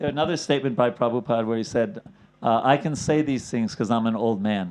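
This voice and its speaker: Speech moves at a fairly quick pace with ordinary pitch variation. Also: man, medium pitch for a man. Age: 60s. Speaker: spiritual teacher. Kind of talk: lecture. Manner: halting.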